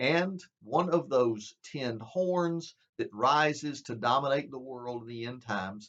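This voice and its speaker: At a fairly slow pace, a man speaks with a medium pitch, ordinary pitch variation and big swings in loudness. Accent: Southern US. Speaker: preacher. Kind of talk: bible prophecy teaching. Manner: conversational.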